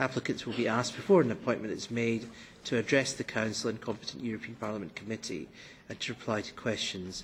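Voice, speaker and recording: In a Scottish accent, a man talks at a very fast pace with a somewhat breathy, medium-pitched voice and ordinary pitch variation. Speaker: committee chair. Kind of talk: formal committee proceedings. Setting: parliament committee meeting room. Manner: formal.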